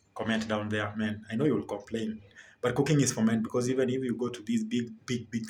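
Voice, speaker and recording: The speech comes at a fairly quick pace, somewhat breathy. The intonation stays monotone and flat. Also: man. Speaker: family vlogger. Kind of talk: casual cooking vlog. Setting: home kitchen. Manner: halting, many fillers and repetitions.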